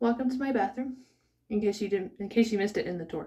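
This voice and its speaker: A woman's somewhat breathy voice. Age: 20s. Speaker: vlogger. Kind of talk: casual vlog monologue. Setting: home bathroom. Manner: casual, rambling with fillers.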